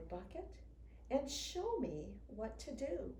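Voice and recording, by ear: A woman speaks slowly with big pitch swings. Audible room echo surrounds her voice.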